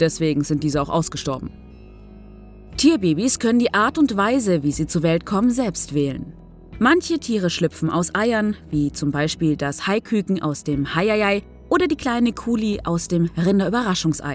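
Backed by music, a woman speaks in a fairly low pitch with lively intonation. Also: moderate pace. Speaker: voice-over narrator.

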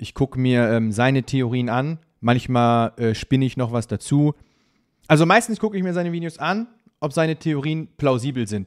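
In a quiet setting, a man speaks at a moderate speed. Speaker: streamer reacting to videos. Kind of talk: casual commentary. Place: home room.

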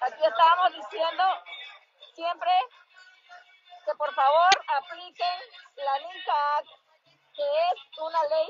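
Music plays behind a woman with an extremely high pitch and ordinary pitch variation. She talks at a fairly slow pace, and the sound is dry with no echo. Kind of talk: livestream address to viewers. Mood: earnest, determined. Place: street. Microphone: earbuds.

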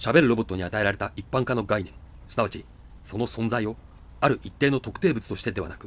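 Reading voice without strain, pitch varying as usual

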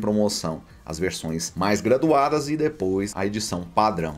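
A man with a Brazilian accent speaks with very wide pitch swings. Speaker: gaming deals YouTuber. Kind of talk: sales pitch, upbeat promo read for a store sponsor, with a rapid rundown of game prices. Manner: friendly, direct, addresses viewers as buddies.

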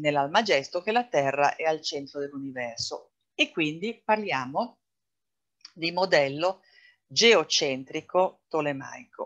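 Speaking at a very slow pace with long, frequent pauses, a woman with a very deep, low pitch uses lively intonation against a quiet background. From Italy, Venice; Italy. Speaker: astrologer; presenter. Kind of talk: lecture. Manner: hesitant, frequent fillers. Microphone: webcam.

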